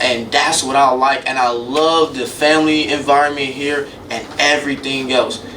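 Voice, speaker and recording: In a room with audible echo and noticeable background noise, a man with a fairly high voice talks at a moderate pace with fairly even intonation. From Chicago South Side, US Midwest. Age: 20s. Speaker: media student podcaster. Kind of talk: solo podcast monologue. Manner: casual, conversational.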